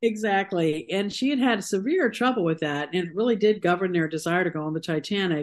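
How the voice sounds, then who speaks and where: Speaking at a fairly quick pace against a quiet background, a woman with an American accent has a normal speaking voice, medium pitch and ordinary pitch variation. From Ohio, US Midwest. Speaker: author. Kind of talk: interview.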